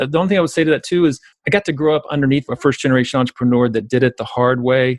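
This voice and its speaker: A very fast-talking man with an American accent, his medium pitch showing ordinary variation. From US South, South Georgia. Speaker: entrepreneurship educator and author. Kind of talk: podcast interview. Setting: call.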